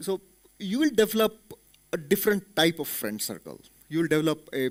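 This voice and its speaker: Speaking with an Indian accent, a man keeps a moderate pace on a very clean recording with a silent background. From India, Belgaum (Karnataka). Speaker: corporate executive, motivational speaker. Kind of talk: motivational talk. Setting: auditorium with audience.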